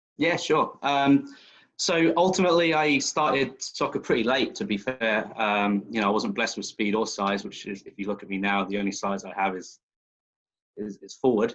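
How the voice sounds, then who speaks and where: A man at a medium pitch with a slight English accent, lively intonation and big swings in loudness. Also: moderate pace. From southern England, West Sussex. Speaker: youth soccer club director. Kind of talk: interview over video call.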